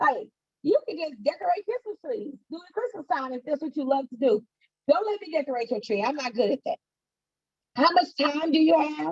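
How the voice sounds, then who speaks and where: Quick-paced and animated, a woman with a high pitch swings very widely in pitch and loudness, the sound dry and close with no echo. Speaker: entrepreneur and financial coach giving a talk. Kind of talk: online presentation to students. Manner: fast.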